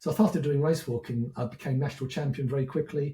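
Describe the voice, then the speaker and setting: With ordinary pitch variation, this somewhat breathy voice carries a dark, mellow tone. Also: man. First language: French. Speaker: educator, former teacher. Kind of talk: podcast interview.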